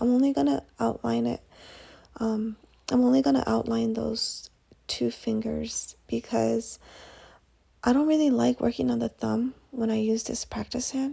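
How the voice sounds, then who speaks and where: A woman whispering, with long, frequent pauses. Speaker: nail art tutorial creator. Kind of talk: tutorial. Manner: casual.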